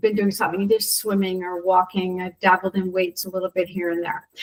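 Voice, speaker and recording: With an ordinary speaking voice, a woman speaks at a medium pitch and a fairly quick pace. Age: 60s. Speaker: CrossFit member sharing health story. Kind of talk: casual interview testimony.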